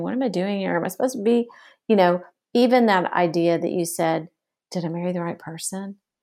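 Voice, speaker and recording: A woman with a plain, everyday voice talks at a fairly quick pace at a fairly low pitch. The recording is very clean, with a silent background. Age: 50s. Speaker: author. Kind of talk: casual chat.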